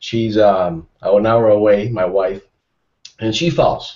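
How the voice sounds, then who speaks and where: A man speaks with very wide pitch swings and a somewhat breathy voice against a quiet background. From Mexico. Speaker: cardiology fellow; panelist. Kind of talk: panel discussion. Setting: studio. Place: home room. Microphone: earbuds.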